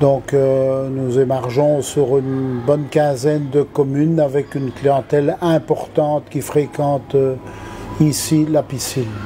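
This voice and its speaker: A man's fairly high-pitched voice at a very slow pace, monotone and flat in intonation, over noticeable background noise. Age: 70s. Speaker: swimming pool manager. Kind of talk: interview answers. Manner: hesitant, many fillers.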